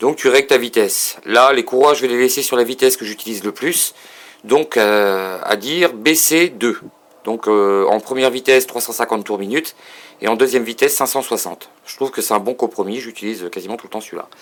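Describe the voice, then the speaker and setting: The speech moves at a fairly quick pace with ordinary pitch variation. Its loudness swings widely. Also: man, medium pitch for a man. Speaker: hobbyist showing a lathe. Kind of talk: tutorial. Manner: halting.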